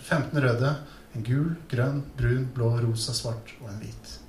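A man speaks at a fairly slow pace. Audible room echo fills the recording. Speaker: essayist. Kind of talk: scripted narration.

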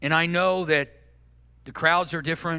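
Here a man speaks at a fairly high pitch. His pace is fairly quick. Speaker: pastor. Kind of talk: sermon. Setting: church with live audience and online stream. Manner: loud.

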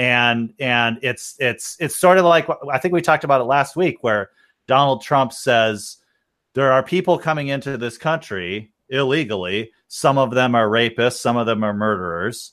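A moderate pace and lively intonation from a man, medium in pitch, in an ordinary speaking voice. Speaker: engineer. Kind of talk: casual chat. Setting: video call.

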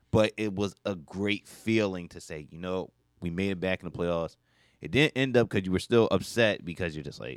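In a very clean recording with a silent background and a dry, close sound with no echo, a man with a very deep, low pitch talks at a moderate pace with lively intonation and big swings in loudness. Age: 20s. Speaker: radio sports co-host. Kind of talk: radio sports talk, casual banter. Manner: relaxed, agreeable, laughing, echoing co-host.

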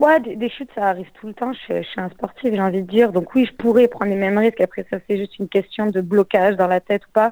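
A dark, mellow tone at a very fast pace, with ordinary pitch variation and a dry, close sound with no echo. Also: woman, medium pitch for a woman. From Marseille, southern France. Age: 20s. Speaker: mountain bike rider. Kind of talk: interview. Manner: halting, many hesitations.

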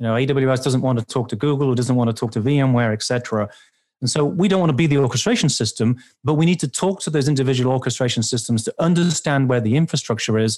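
A man's medium-pitched voice with a British accent at a very fast pace. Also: very even loudness, very clean recording, silent background. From England. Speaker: vendor security expert. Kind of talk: interview, sponsored podcast conversation.

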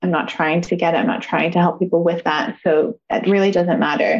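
A woman speaks in a calm tone at a moderate pace. Her pitch is medium, with ordinary pitch variation. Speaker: yoga teacher and life coach. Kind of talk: interview.

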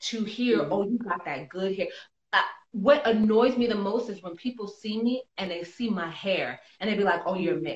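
Here a woman speaks with a medium pitch. Her pace is moderate and her pitch variation ordinary. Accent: New York. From New York City. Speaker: actress. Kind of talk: casual interview. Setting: Instagram live video call.

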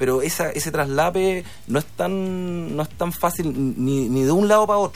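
Speaking at a moderate pace, a man with a fairly high voice lets his pitch swing very widely. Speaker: sports marketing entrepreneur, former sports journalist. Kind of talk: radio interview.

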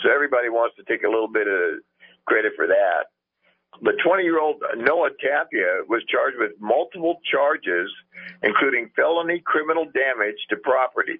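The speaker keeps a moderate pace. Loudness stays very even. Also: man. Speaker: caller. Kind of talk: casual chat. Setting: phone call.

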